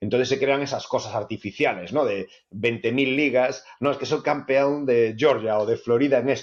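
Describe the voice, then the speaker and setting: An ordinary speaking voice from a man, medium in pitch, with fairly even intonation and a moderate pace. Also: hardly any pauses. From Spain. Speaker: author. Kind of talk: interview conversation.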